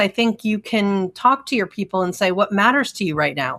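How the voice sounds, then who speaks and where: Recorded very cleanly against a silent background with a dry, close sound and no echo, a woman talks at a medium pitch with lively intonation. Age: 60s. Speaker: psychologist. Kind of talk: interview conversation. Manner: hesitant fillers.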